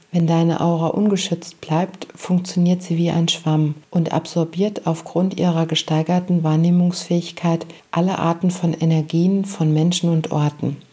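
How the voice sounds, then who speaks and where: Over noticeable background noise, a woman with a fairly low pitch speaks in a calm, soothing tone at a fairly slow pace, with monotone, flat intonation, very even loudness and hardly any pauses. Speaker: meditation guide and podcast host. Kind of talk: guided meditation. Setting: studio with background music. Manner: slow, soft, calm and soothing; gentle, pausing often.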